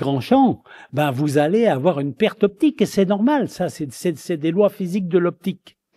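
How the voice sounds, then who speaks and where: A man with a high pitch and a dark, mellow tone speaks at a moderate pace with lively intonation, the sound dry and close with no echo on a very clean recording with a silent background. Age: 70s. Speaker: retired eye surgeon. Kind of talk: lecture. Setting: conference hall with audience. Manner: hesitant, repeating words.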